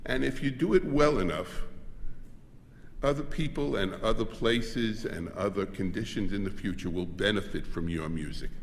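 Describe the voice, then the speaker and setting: A man in an American accent, fairly low in pitch, at a moderate pace with lively intonation and audible room echo. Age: 70s. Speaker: composer. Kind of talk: speech.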